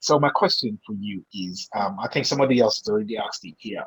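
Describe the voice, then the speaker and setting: Recorded with a dry, close sound with no echo, a man speaks at a fairly quick pace, with medium pitch and ordinary pitch variation. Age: 40s. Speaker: DJ and MC, call-in participant. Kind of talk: audience question on a video call. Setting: video call.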